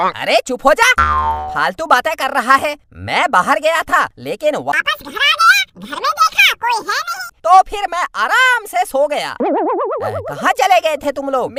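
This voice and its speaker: A gruff, put-on character voice at an extremely high pitch and a moderate pace, with sound effects in the background. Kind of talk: comic overacting. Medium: cartoon. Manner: gruff, scolding.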